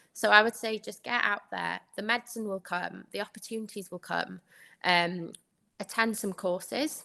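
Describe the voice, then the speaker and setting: A woman with a Welsh accent and a bright, sharp tone, medium in pitch, at a moderate pace over a quiet background. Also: fairly even intonation. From Wales. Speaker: doctor. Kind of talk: podcast interview.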